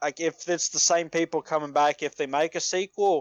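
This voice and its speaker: A man talks at a moderate pace with a fairly high pitch and ordinary pitch variation. The sound is dry and close with no echo, over a quiet background. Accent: Appalachian. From Appalachia, US South. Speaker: podcast co-host. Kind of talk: casual chat. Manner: halting, many repeated words and fillers.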